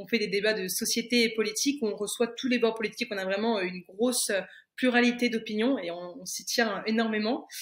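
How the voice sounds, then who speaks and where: A plain, everyday voice from a woman, fairly high-pitched with fairly even intonation. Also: fairly quick pace. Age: 20s. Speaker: entrepreneur and media founder. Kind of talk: podcast interview.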